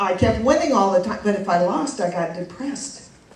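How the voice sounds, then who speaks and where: With lively intonation and a moderate pace, a woman speaks amid audible room echo and noticeable background noise. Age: 60s. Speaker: comedian. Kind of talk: stand-up.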